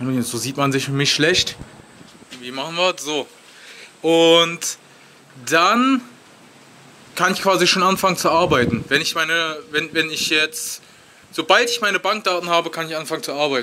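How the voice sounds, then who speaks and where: A man speaks at a moderate pace in a fairly high pitch, with ordinary pitch variation and long, frequent pauses. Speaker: travel vlogger. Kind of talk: vlog. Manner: hesitant, many fillers; casual.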